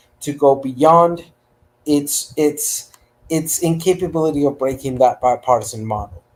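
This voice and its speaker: A man with a Spanish accent, fairly high-pitched, at a moderate pace. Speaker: panelist. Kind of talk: panel debate.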